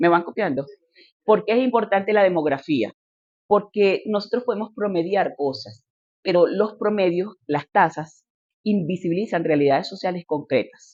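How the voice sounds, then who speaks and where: A woman talks at a moderate pace and medium pitch with lively intonation. It is a normal speaking voice. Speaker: politician and lecturer. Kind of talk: lecture.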